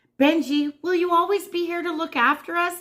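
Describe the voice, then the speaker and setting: The speaker uses a put-on character voice with a bubbly, energetic tone. The pace is moderate. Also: woman, extremely high pitch for a woman. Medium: read story.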